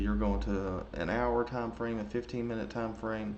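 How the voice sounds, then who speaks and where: A man's moderate-paced speech comes with audible room echo. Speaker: trading educator. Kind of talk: tutorial. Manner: casual; halting, many fillers.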